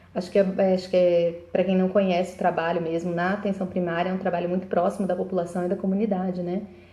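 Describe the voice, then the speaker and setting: Talking at a very fast pace with hardly any pauses, a woman uses a monotone, flat intonation. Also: medium pitch for a woman. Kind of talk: live video monologue. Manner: halting.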